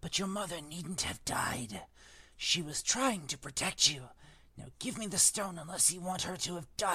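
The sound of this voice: Pitch moves in an ordinary way across an unforced reading voice.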